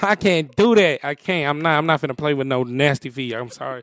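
With an American accent, a man talks at a fairly quick pace in an unremarkable speaking voice, fairly high in pitch with lively intonation, the sound dry and close with no echo. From San Jose, California. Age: 30s. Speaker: content creator and comedian. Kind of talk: casual chat. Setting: studio.

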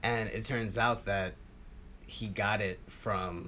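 A man with an American accent speaks very slowly in a bright, sharp tone, fairly low in pitch. His intonation is fairly even, and room echo is audible. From Queens, New York City. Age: 20s. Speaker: oral history interviewee. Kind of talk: interview.

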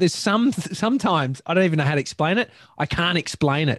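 With an Australian accent and lively intonation, a man speaks in a dry, close sound with no echo. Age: 30s. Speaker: podcast host. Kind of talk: casual chat.

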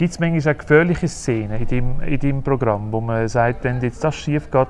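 Medium-pitched male speech in a Zurich accent, ordinary pitch variation, moderate pace and hardly any pauses. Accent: Swiss German (Zurich). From Switzerland, Uster (Zurich Oberland). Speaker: interviewer. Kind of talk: interview. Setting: theatre hall.

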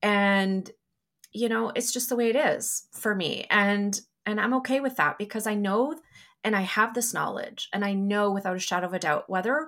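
At a moderate pace, a woman with an ordinary speaking voice talks at medium pitch with ordinary pitch variation. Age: 40s. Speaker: psychic medium. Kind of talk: casual chat.

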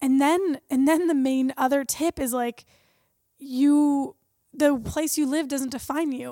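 A woman speaks at a very slow pace in a high pitch, her intonation fairly even and the sound dry and close with no echo. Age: 20s. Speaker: startup co-founder and CEO. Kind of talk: casual chat.

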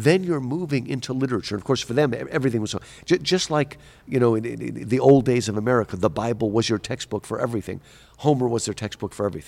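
On a very clean recording with a silent background, a man at a medium pitch talks at a very fast pace with lively intonation and vocal fry. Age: 50s. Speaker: professor. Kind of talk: interview. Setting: conference.

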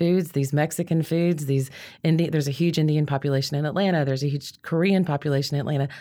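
A woman with a Southern US accent speaks in a very deep, low pitch with a dark, mellow tone. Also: very clean recording, silent background. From US South (Georgia, Louisiana). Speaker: chef and cookbook author. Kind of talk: casual interview.

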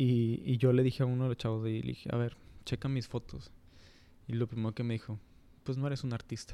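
Speaking very fast in a northern Mexican accent, a man keeps a medium pitch and flat, monotone intonation, broken by long, frequent pauses. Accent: northern Mexican Spanish (Monterrey). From Monterrey, Mexico. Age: 30s. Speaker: photographer. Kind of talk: casual chat. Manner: halting.

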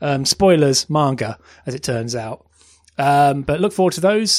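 Here a man with a British accent speaks at a fairly quick pace. His pitch is fairly high, and his intonation is lively. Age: 30s. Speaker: podcast host. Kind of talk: casual chat.

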